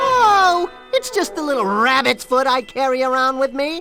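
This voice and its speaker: Over clear background music, a female-sounding cartoonish character voice speaks at a moderate pace. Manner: wisecracking.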